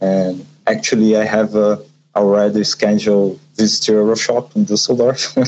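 A man with a Brazilian accent speaks at a fairly low pitch. His intonation is monotone and flat, his loudness very even. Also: moderate pace. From Brazil, Sao Paulo. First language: Portuguese. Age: 40s. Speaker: trade show company founder. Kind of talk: interview. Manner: halting.

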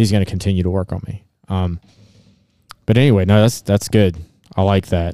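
A man's dark, mellow, fairly low voice, fairly quick yet broken by long, frequent pauses, with fairly even intonation and a dry, close sound with no echo. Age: 40s. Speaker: podcast host. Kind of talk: casual chat.

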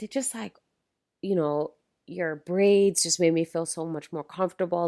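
In a very clean recording with a silent background and a dry, close sound free of echo, a woman with an American accent talks at a moderate pace. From Brooklyn, New York. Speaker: OBGYN doctor. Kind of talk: casual chat.

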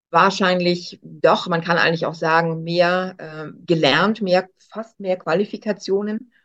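A woman speaks at a moderate pace. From northern Germany, Hamburg. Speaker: coach and speaker. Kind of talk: interview.

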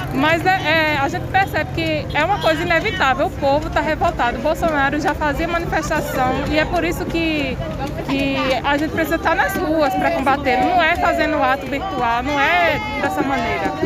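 Crowd noise fills the background as a woman talks at a moderate pace, her high pitch showing ordinary variation and her loudness very even. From Paraíba, Brazil. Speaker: protester, political activist. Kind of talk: street interview. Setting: outdoors at a street protest.

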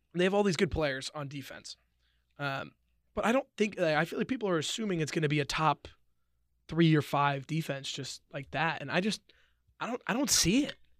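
Speaking fairly quickly but with long, frequent pauses, a man uses lively intonation at a fairly high pitch in a dry, close sound with no echo. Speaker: student sports podcast co-host. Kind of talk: casual sports chat.

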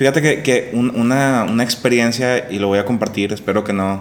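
A man with a medium pitch talks fairly quickly, keeping his intonation fairly even, while noticeable background noise carries on. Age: 30s. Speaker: podcast co-host, entrepreneur. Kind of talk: casual chat. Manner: halting, many repetitions.

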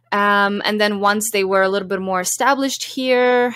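A woman's bright, sharp, warm tone with fairly even intonation, in a very clean recording with a silent background. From Ukraine. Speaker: photographer and YouTube creator. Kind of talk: casual interview conversation. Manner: warm, friendly, laughs often.

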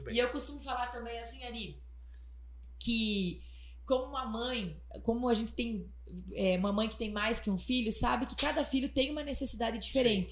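Long, frequent pauses from a woman at a moderate pace. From Paraná, Brazil (Palmas). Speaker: political candidate. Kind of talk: interview. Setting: studio.

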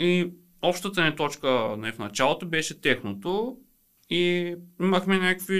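A man talks at a fairly slow pace with a high pitch. The recording is very clean with a silent background. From Bulgaria, Sliven and Nessebar. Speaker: DJ. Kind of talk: casual chat.

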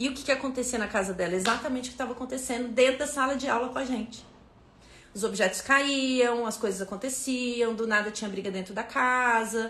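An animated, fairly quick woman's voice with a high pitch in a Brazilian accent, with audible room echo. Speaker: spiritual numerology teacher. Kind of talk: live stream talk. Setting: Instagram live stream.

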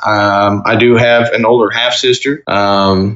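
This voice has an American accent. The pace is very slow. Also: man. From Kansas. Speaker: country singer-songwriter. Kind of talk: interview storytelling.

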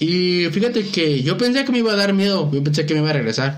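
There is audible room echo as a man talks at a moderate pace. His pitch swings very widely. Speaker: podcast co-host. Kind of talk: casual chat.

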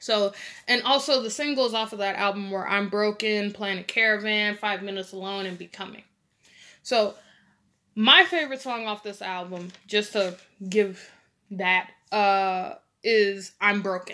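Over a quiet background, a woman speaks at a medium pitch with ordinary pitch variation. Her tone is bright and sharp, and her pace fairly slow. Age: 20s. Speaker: podcast host. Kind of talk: casual monologue. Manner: hesitant, many fillers.

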